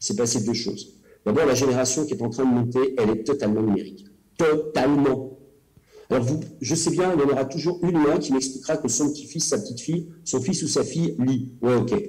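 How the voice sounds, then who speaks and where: A man speaks in a dark, mellow, somewhat breathy tone with ordinary pitch variation. Long, frequent pauses break up his speech amid audible room echo. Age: 50s. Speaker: cultural policy official and elected councillor. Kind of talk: presentation. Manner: hesitant, many filler sounds.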